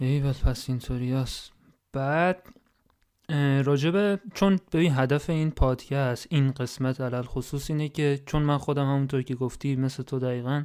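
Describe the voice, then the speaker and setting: A man with an ordinary speaking voice talks at a fairly high pitch and a moderate pace, his intonation fairly even. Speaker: podcast host. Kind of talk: casual chat.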